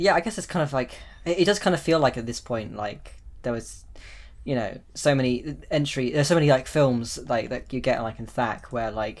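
Lively intonation marks this man's unremarkable speaking voice, delivered at a moderate pace and a medium pitch. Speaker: podcast host. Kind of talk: casual chat.

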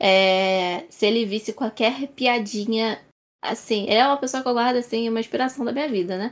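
A woman talks at a moderate pace in a plain, everyday voice. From Brazil, Rio de Janeiro. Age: 20s. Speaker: information security professional. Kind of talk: casual panel discussion.

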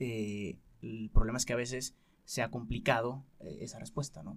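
Medium in pitch, a man speaks with a Mexican accent and vocal fry. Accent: Mexican Spanish (Jalisco). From Mexico, Guadalajara. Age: 20s. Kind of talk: radio interview, testimony.

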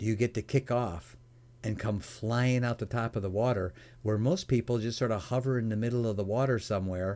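At a fairly quick pace, a man with a dark, mellow tone and medium pitch speaks with fairly even intonation on a very clean recording with a silent background. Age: 60s. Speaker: entrepreneur and mentor. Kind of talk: interview.

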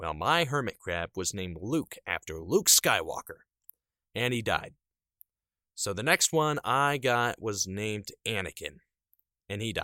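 Pausing long and often, a man talks at a fairly slow pace with very wide pitch swings in a very clean recording with a silent background. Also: medium pitch for a man. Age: 20s. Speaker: solo podcaster. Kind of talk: casual monologue. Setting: home audio booth. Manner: unscripted and rambling.

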